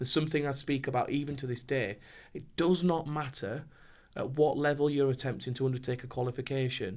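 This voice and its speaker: With a northern English accent, a man talks at a very fast pace in a fairly high voice. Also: fairly even intonation. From northern England. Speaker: compliance trainer. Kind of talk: podcast interview.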